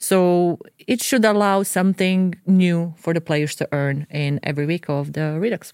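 This woman has a fairly low voice and ordinary pitch variation. She talks at a moderate pace in a dry, close sound with no echo. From Croatia, Dubrovnik. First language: Croatian. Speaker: video game producer. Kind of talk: casual chat. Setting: studio.

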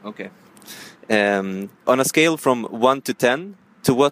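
A man with a Swedish accent, recorded dry and close with no echo. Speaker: podcast host interviewing passers-by. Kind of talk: street vox-pop interview. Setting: outdoor street interviews on portable recorder. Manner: halting, non-fluent English.

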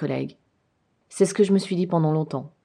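Against a quiet background, a woman speaks in a dark, mellow tone with fairly even intonation. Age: 40s. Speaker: podcast host. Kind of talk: personal testimony monologue.

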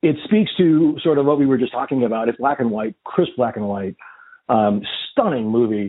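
With an animated tone and lively intonation, a man talks at a moderate pace with a medium pitch. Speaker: podcast host and therapist. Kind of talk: casual interview chat. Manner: animated, jokey.

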